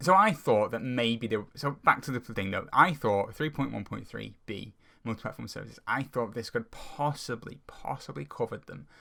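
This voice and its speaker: At a moderate pace with hardly any pauses, a man speaks at medium pitch with lively intonation, big swings in loudness, vocal fry and a bright, sharp tone. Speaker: software engineer. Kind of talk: casual commentary to camera. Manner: stuttering, hesitant, many filler words.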